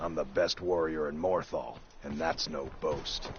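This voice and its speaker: Over clear background noise, a man does a raspy, put-on character voice at a moderate pace. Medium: video game. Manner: casual, offhand.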